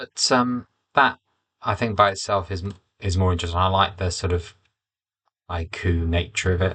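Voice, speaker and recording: A man with a very deep, low pitch mumbles at a moderate pace with fairly even intonation over a quiet background. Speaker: poet and teacher. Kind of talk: writing process vlog, thinking aloud. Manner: mumbling, halting.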